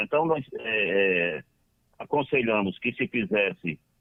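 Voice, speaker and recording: A man is speaking. His pitch swings very widely. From Northeast Brazil, Ceará (Lavras da Mangabeira). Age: 60s. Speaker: football club council member. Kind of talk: radio interview. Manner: halting.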